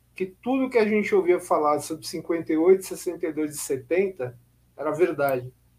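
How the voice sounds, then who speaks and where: High-pitched for a man, he speaks at a very slow pace with lively intonation. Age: 50s. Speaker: historian and author. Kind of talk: casual chat.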